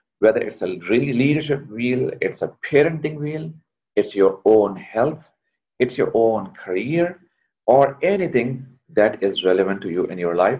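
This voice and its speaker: A man speaks at a fairly slow pace with a medium pitch. His pitch swings very widely. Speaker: leadership coach, workshop trainer. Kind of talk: online workshop lecture. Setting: video call.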